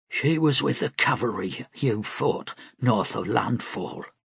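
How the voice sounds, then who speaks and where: Putting on a character voice, a man speaks at medium pitch and a fairly slow pace, sounding strained and raspy. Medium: read story. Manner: low, strained.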